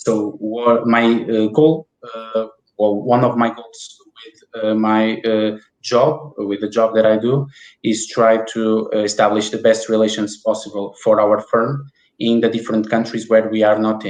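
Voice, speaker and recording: A man speaks with a Portuguese accent. His intonation is monotone and flat. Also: medium pitch for a man, fairly slow pace. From Portugal (Porto). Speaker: IP business development manager. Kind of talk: interview.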